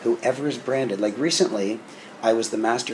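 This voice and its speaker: A man talking very fast, his pitch medium and its variation ordinary, can be heard through noticeable background noise. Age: 60s. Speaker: business coach. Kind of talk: interview.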